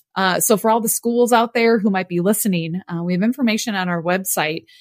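A woman with an American accent speaks in an ordinary speaking voice at medium pitch with ordinary pitch variation, on a very clean recording with a silent background and a dry, close sound with no echo. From US Midwest. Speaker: nonprofit executive director. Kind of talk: interview.

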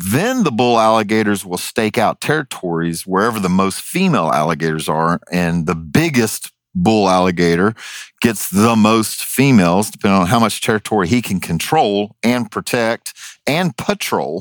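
A man at a fairly low pitch and moderate pace, dry and close with no echo. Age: 50s. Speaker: wildlife removal specialist and reality TV personality. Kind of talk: casual chat. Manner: animated.

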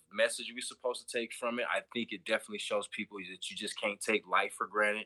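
A very fast male voice of medium pitch with a bright, sharp tone, dry and close with no echo. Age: 30s. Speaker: podcast guest. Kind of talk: casual chat.

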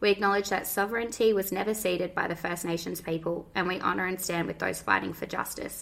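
Talking at a very fast pace, a woman with an Australian accent has a medium pitch and ordinary pitch variation. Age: 20s. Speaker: podcast co-host, mother. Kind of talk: scripted intro; casual chat.

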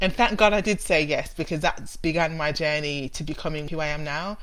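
A woman with a Birmingham accent speaks at a fairly quick pace, her pitch very deep and low. Room echo is audible around her. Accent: Brummie. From Birmingham, England. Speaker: theology researcher. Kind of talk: interview about theology.

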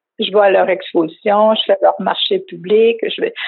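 A woman speaks with a Quebec accent. Her pace is very slow. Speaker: craftswoman. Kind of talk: interview. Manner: halting.

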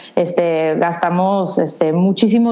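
The woman's voice sits at a medium pitch with ordinary pitch variation. Room echo is audible, and background noise is noticeable. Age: 30s. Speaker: entrepreneur. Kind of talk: interview.

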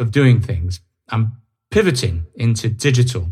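A somewhat breathy man at a medium pitch, with ordinary pitch variation. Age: 50s. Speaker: podcast host and author. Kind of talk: solo monologue podcast. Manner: some hesitations and stammering.

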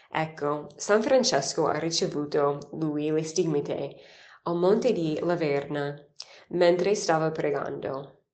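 A woman with an English accent speaks very slowly in a very deep, low pitch, with ordinary pitch variation and audible room echo. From United States. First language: English (speaking Italian). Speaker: nun giving daily catechesis. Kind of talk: scripture reflection. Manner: some hesitations.

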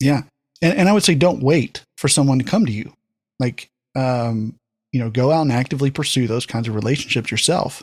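The speaker talks at a fairly quick pace with ordinary pitch variation in a very clean recording with a silent background. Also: man, medium pitch for a man. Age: 40s. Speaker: podcast engineer, former youth pastor. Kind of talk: casual chat. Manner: halting, with many fillers.

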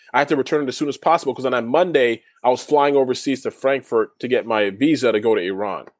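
Speaking at a very fast pace with a Canadian accent, a man uses a medium pitch and ordinary pitch variation on a very clean recording with a silent background. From Toronto, Canada. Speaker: former professional basketball player. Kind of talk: casual interview.

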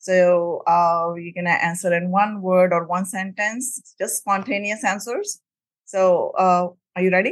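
A woman talks in a plain, everyday voice at medium pitch. Her pace is fairly slow and her intonation fairly even. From immigrant to the US. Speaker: podcast host. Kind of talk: interview.

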